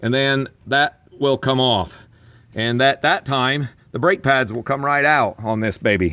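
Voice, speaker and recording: A man's fairly high-pitched, fairly slow delivery in an ordinary speaking voice. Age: 60s. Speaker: DIY car repair hobbyist, auto worker. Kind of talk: tutorial. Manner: casual, with fillers.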